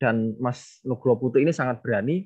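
At a moderate pace, the speaker talks over a quiet background. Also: man. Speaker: literature lecturer. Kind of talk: book discussion talk. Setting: video call. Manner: formal. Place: home room. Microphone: earbuds.

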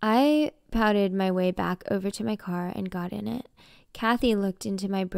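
The voice reads aloud naturally, its pitch rising and falling in an ordinary way.

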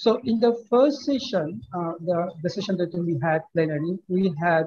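This man talks with a high pitch at a fairly slow pace. His pitch varies in an ordinary way. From Bangladesh. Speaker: finance professor. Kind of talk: closing speech. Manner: halting. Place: office. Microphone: video call.

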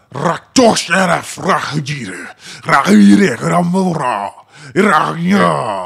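A man's put-on character voice, fairly high, with very wide pitch swings and a very slow pace. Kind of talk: draconic language. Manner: angry, booming.

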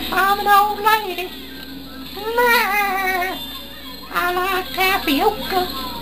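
A put-on character voice at an extremely high pitch, very slow pace, and long, frequent pauses

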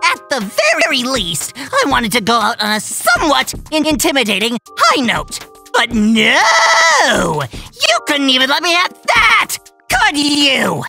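A man puts on a character voice, raised and projected, speaking at a fairly slow pace with faint music in the background. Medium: audio drama. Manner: exasperated, ranting.

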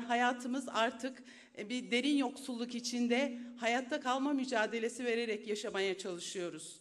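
Against a quiet background, a woman speaks in a high pitch at a fairly slow pace, with fairly even intonation and hardly any pauses. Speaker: retired civil servant. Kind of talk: speech at public meeting. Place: hall. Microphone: podium.

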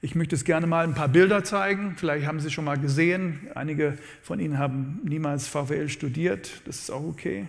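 Against a quiet background, a man with an English accent talks at a moderate pace in a fairly high pitch with ordinary pitch variation. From USA (born in New Orleans). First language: English (speaking German). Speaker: economics professor; professor giving a public lecture. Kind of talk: lecture. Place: hall. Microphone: lapel.

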